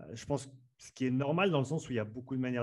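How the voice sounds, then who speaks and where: A man uses a normal speaking voice at medium pitch. His intonation is fairly even, and the background is quiet. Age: 30s. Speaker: strength and conditioning coach. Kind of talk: interview. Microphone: good podcast microphone.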